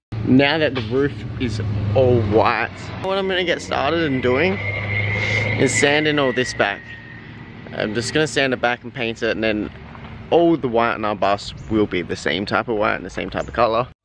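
There is noticeable background noise as a man speaks at a moderate pace in a dry sound with no echo. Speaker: van conversion vlogger. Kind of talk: casual vlog chat. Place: open country. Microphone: phone near.

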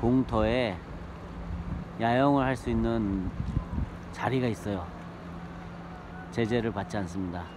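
A fairly low-pitched man at a very slow pace, dry sound with no echo, and noticeable background noise. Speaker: camper-van travel vlogger. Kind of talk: casual vlog chat. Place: waterside. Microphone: phone near.

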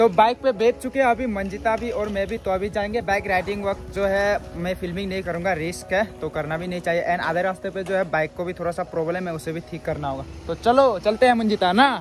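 A high-pitched man at a moderate pace, with ordinary pitch variation, dry sound with no echo and light background noise. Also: hardly any pauses. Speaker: vlogger. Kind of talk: casual vlog chat. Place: street. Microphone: phone near.

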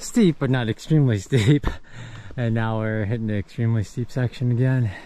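A man speaks in a dark, mellow tone, and the sound is dry with no echo. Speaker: thru-hiker vlogger. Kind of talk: casual vlog chat. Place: forest. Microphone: phone near.

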